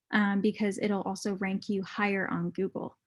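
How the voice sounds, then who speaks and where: Her voice is somewhat breathy, at a medium pitch. The woman keeps a moderate pace. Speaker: marketing guest speaker. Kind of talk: webinar presentation. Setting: video call.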